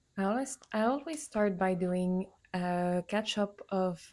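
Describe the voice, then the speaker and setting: Speaking very slowly with a non-native accent, a woman keeps her pitch medium. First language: not English. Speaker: artist and journaling vlogger. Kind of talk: casual vlog talk to camera. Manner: halting, frequent fillers.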